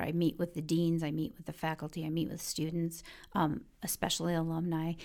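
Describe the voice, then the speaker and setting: A woman with an American accent and an unremarkable speaking voice, fairly low in pitch and fairly quick in pace, on a very clean recording with a silent background. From Detroit, Michigan. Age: 50s. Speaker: university enrollment executive. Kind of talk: interview.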